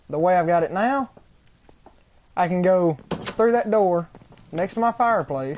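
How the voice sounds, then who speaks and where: A man with an Alabama accent talks at a moderate pace in a high pitch, his intonation lively and his pauses long and frequent. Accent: Southern US (Alabama). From US South, Alabama. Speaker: gamer streamer. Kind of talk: live gameplay stream commentary. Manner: casual, rambling and self-correcting.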